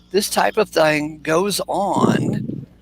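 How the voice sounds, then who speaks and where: A man is speaking. Music plays in the background. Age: 60s. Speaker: bible study host. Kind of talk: casual chat.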